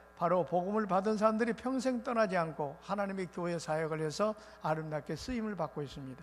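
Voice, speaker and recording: Music plays behind a man's voice. His pitch is high and his intonation lively. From South Korea, Muan (South Jeolla). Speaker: revival preacher. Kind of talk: sermon. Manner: fast.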